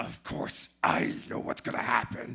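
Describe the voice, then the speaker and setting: In a growling, put-on character voice, the speaker goes along at a moderate pace. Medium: stage play. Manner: blunt, profane.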